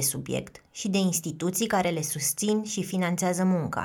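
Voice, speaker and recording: A woman speaks at a moderate pace with a fairly low pitch. It is an ordinary speaking voice, with fairly even intonation. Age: 30s. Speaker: podcast host and narrator. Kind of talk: scripted narration.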